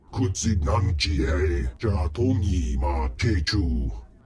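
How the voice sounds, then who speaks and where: In a put-on character voice, a man growls at a very slow pace with a very deep, low pitch. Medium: video game. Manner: grandiose, slow.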